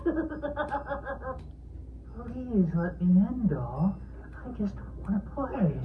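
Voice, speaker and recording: A put-on character voice, very slow, with long, frequent pauses and clear background noise. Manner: sinister, coaxing.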